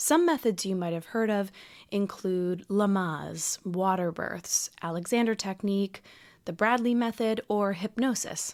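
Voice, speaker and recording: At a fairly slow pace, an unremarkable speaking voice moves with ordinary pitch variation over a very clean recording with a silent background. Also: woman, medium pitch for a woman. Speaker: podcast host. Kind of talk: podcast intro narration.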